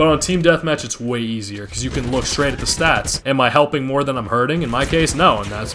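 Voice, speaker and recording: Over noticeable background noise, a man talks at a very fast pace with medium pitch and ordinary pitch variation. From Colombian heritage. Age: 20s. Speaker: gaming YouTuber. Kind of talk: gameplay commentary, casual.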